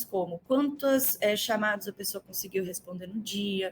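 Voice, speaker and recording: A woman speaks at a fairly quick pace with a Minas Gerais accent. Her medium-pitched voice is somewhat breathy. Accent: Minas Gerais (mineiro). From Brazil, Minas Gerais (Belo Horizonte). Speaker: customer success executive and mentor. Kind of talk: podcast interview.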